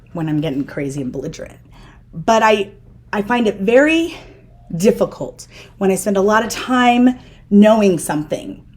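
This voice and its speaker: Somewhat breathy and at a moderate pace, the voice moves through very wide pitch swings, broken by long, frequent pauses. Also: woman. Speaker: podcast host. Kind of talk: conversational interview.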